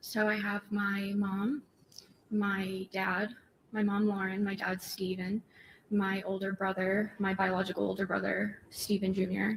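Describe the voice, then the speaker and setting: A soft-spoken woman with an American accent, medium pitch, somewhat breathy, monotone and flat, very even in loudness, at a fairly slow pace. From Massachusetts (Methuen). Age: 20s. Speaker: trial witness. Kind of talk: court testimony. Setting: courtroom. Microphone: too far from the mic, hard to hear.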